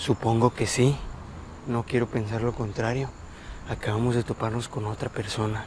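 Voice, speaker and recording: Against noticeable background noise, a man speaks at a moderate pace in a monotone, flat intonation with long, frequent pauses, the sound dry with no echo. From Mexico. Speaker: paranormal explorer youtuber. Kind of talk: on-location exploration vlog. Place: open country. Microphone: lapel.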